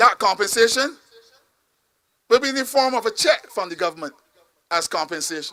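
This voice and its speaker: Projecting a raised voice at an extremely high pitch, a man talks in an animated tone at a fairly quick pace, with very wide pitch swings, big swings in loudness, and long, frequent pauses. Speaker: politician. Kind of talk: campaign speech.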